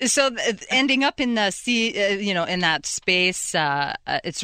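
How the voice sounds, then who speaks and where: In a Quebec French accent, the voice has a bright, sharp tone and very wide pitch swings, with a dry, close sound and no echo. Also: woman, quiet background. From Quebec City, Canada. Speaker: software company executive. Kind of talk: radio interview.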